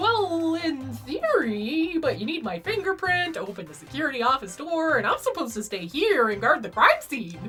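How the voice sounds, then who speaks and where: Over clear background music, a woman performs a put-on character voice at a moderate pace with hardly any pauses. Her loudness swings widely. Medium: game stream. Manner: flustered, hesitant.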